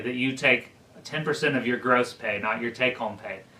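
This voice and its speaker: A man talks at a fairly quick pace with medium pitch. Noticeable background noise runs behind him. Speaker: church teacher. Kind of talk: teaching class on budgeting. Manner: fast.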